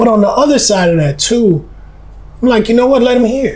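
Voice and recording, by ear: Loud man at extremely high pitch, lively intonation, audible room echo. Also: fairly quick pace, slightly mellow tone.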